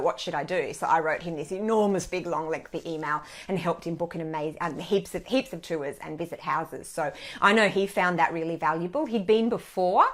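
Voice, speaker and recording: A woman speaks with an Australian accent at a fairly low pitch. Her pace is fairly quick, with ordinary pitch variation. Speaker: wine blogger. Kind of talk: casual chat. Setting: Facebook live video. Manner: loud.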